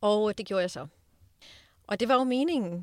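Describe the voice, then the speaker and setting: At a moderate pace, a woman talks in a normal speaking voice, the sound dry and close with no echo. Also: very clean recording, silent background. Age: 40s. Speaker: diamond dealer and speaker. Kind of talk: interview. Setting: studio.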